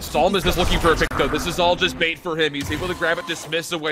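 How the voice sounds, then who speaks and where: A man speaks at a very fast pace in a raised, projected voice with an excited, animated tone. Noticeable background noise fills the recording. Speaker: esports commentator. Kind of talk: live esports commentary, play-by-play of a Valorant match. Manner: fast, fluent play-by-play delivery, rising and falling with the action; excited, animated in key moments, mostly measured and analytical.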